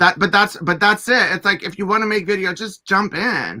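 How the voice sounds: At a moderate pace, a man with a high pitch speaks in a bright, sharp tone with ordinary pitch variation.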